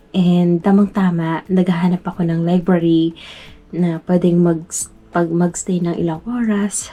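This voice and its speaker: The woman's pitch is fairly low, and her pace is moderate. She delivers her words in a flat, monotone way. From Philippines, Metro Manila. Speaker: vlogger. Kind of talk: vlog narration. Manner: halting; quiet.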